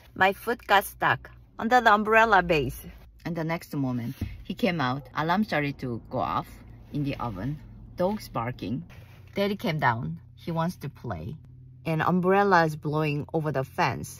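A woman's very deep, low voice with vocal fry, at a moderate pace, in a dry sound with no echo. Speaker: vlogger. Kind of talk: casual vlog storytelling. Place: car. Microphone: phone near.

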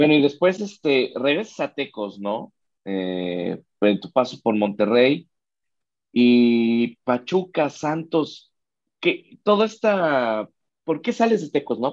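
Over a quiet background, a man with a Mexican accent talks at a very slow pace with very wide pitch swings. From Mexico. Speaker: sports channel host. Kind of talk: interview. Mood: friendly, cheerful. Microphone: video call.

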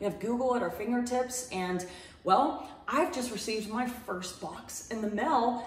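Audible room echo surrounds a woman with a high pitch. She talks at a moderate pace with ordinary pitch variation. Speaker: home gardening vlogger. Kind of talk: casual vlog chat. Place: home room.

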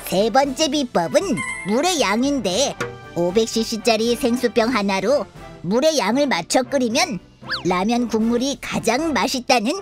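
A cartoonish character voice with a fairly high pitch speaks at a fairly slow pace over clear music in the background. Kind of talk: children's cartoon explainer. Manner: smug, explanatory, self-praising.

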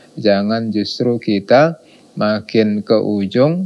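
A man's fairly low voice at a very slow pace, with ordinary pitch variation, against a quiet background. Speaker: religious teacher. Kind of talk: sermon. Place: studio. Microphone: lapel.

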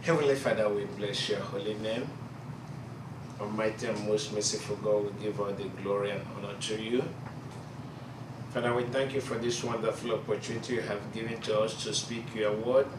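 With noticeable noise behind it, the voice keeps a moderate speed. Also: man. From Nigeria. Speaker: preacher. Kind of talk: prayer. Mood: solemn, reverent. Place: classroom. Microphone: camera far.

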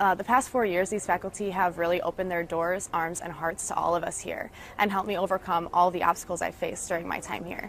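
With few pauses, a woman talks at a fairly quick pace, her fairly low voice fairly bright in tone and fairly even in intonation.

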